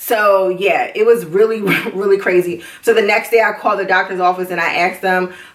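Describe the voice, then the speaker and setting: Speaking at a fairly quick pace, a woman keeps a monotone, flat intonation at a medium pitch. Noticeable background noise sits behind her. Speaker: vlogger. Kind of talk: video diary.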